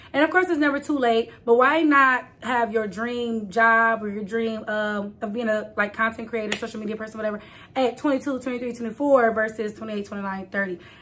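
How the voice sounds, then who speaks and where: An animated woman with an American accent talks at a fairly quick pace with hardly any pauses. Her fairly high pitch shows ordinary variation. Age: late 20s. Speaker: content creator. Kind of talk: casual talk to camera. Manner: chatty, animated.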